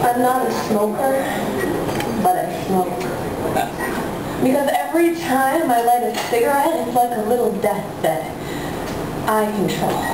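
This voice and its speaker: A woman speaks at a fairly slow pace, with audible room echo and loud background noise around her. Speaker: slam poet. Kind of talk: poetry slam performance. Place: cafe.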